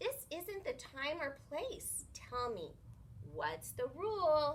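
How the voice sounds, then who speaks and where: A female-sounding put-on character voice speaks at a high pitch and a very slow pace. Clear background noise runs underneath. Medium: read story.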